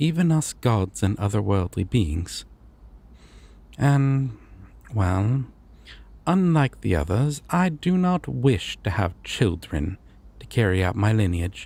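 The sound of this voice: The speaker puts on a character voice with a slightly mellow tone and lively intonation. It moves slowly with vocal fry and long, frequent pauses. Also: man, fairly low pitch for a man.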